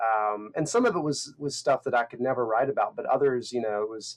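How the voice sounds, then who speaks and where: A man with a slight North Carolina accent talks with ordinary pitch variation on a very clean recording with a silent background. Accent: subtle North Carolina. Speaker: insurance copywriter. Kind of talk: interview.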